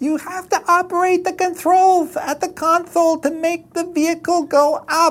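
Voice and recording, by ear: Someone puts on a character voice at an extremely high pitch, with monotone, flat intonation and hardly any pauses. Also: moderate pace.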